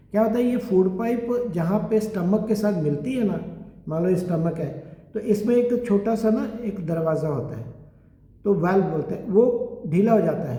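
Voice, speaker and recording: Amid noticeable background noise and audible room echo, a man with a high pitch talks at a moderate pace with ordinary pitch variation. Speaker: Ayurvedic doctor. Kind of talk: lecture. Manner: conversational.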